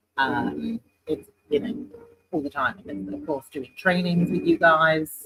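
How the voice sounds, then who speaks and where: Heard with a dry, close sound with no echo, a man with a British accent speaks at a fairly slow pace. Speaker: sales manager. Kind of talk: casual interview chat. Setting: in person, live stream.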